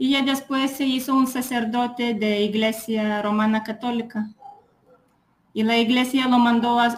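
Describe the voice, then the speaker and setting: A woman's fairly high, flat monotone at a fairly slow pace, with a Lithuanian accent. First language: Lithuanian (speaking Spanish). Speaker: psychologist. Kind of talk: casual chat. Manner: halting.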